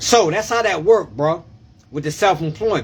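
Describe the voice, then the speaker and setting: A loud man's voice, high-pitched, with very wide pitch swings. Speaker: tax preparer. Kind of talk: live stream tax advice. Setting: live video stream. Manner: animated.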